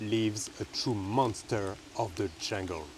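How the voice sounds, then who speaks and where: Over noticeable background noise, a man talks at a fairly slow pace in a fairly low pitch. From France. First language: French. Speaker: plant explorer vlogger. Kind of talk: casual vlog narration. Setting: outdoors in jungle. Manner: playful, humorous.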